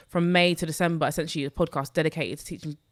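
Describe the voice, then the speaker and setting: Speaking with a London accent, a woman with a fairly low pitch comes through in a very clean recording with a silent background. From London, Newham. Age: 20s. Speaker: personal finance content creator. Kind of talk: podcast interview.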